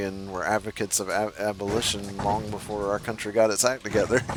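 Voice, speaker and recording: Someone with an American accent talks at a fairly quick pace. Noticeable background noise can be heard. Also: man. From United States. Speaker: gamer. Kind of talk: casual chat.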